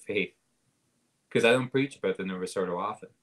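A man with a Canadian accent talks at a very fast pace with fairly even intonation against a quiet background. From Canada, southwestern Ontario. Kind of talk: casual chat. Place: home room. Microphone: video call.

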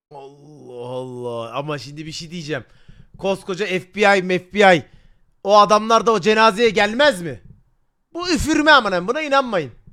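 Raising and projecting his voice, a man speaks at a fairly slow pace with a high pitch and very wide pitch swings. His tone is animated, bright and sharp. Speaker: streamer reacting to a video. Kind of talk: casual live-stream chat.

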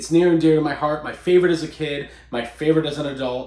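Over a quiet background with audible room echo, a man speaks with ordinary pitch variation. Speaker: podcast host. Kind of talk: casual vlog chat. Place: home room.

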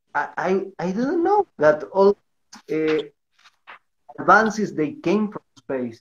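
Speaking in a Spanish accent, a man uses a high pitch. He goes at a very slow pace with long, frequent pauses. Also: lively intonation. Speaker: livestream host and interviewer; livestream host, interviewer. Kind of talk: livestream interview. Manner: halting in English. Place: home room. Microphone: video call.

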